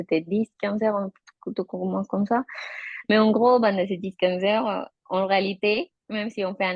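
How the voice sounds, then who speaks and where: In a Colombian accent, a woman speaks at a medium pitch with ordinary pitch variation. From Colombia, Bogota. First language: Spanish (speaking French). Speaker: interviewee, mother. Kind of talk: interview. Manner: halting, with repetitions.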